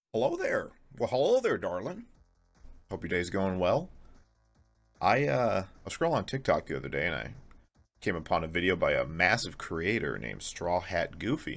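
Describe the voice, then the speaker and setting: A man talks in a playful tone at a moderate pace. He leaves long, frequent pauses, with music in the background. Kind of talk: casual video essay commentary. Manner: playful, sarcastic.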